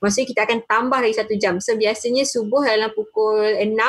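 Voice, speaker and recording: This woman uses a normal speaking voice and talks at a fairly quick pace. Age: 20s. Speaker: university student. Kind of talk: panel discussion.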